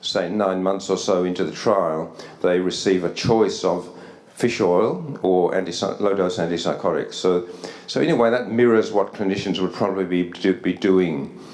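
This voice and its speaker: A man's very deep, low voice with an Australian accent, fairly even intonation and very even loudness, amid noticeable background noise and audible room echo. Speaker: psychiatry researcher. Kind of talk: conference lecture. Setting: academy hall with audience. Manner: fast; halting, many repetitions.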